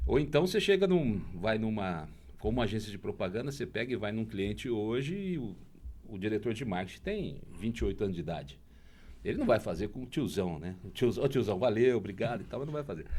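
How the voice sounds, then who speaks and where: This man talks at a fairly quick pace with lively intonation. His voice sits fairly low and carries vocal fry. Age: 60s. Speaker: bar-hunting TV and social media presenter. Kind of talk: podcast interview. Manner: animated.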